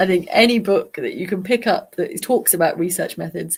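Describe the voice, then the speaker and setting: This woman's voice sits fairly low in pitch and is somewhat breathy. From English Midlands. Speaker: clinical psychologist. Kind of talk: live Q&A stream.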